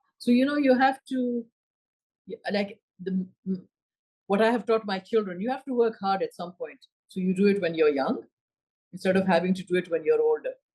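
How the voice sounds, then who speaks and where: A woman with a Pashto accent speaks in a somewhat breathy, dark, mellow voice at a medium pitch. Her intonation is lively, broken by long, frequent pauses. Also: fairly quick pace. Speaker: senator. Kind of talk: interview. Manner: casual conversational.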